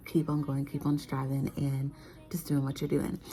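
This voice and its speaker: Whispering, a woman speaks over music in the background. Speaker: vlogger, stay-at-home mom. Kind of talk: casual vlog chat. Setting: living room at home.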